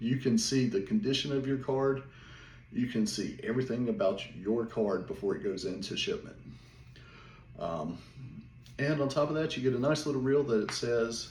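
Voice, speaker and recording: Audible room echo surrounds speech in a Southern US accent. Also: man. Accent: Southern drawl. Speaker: small business owner, card seller. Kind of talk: casual vlog monologue. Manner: more energetic, not talking as slow.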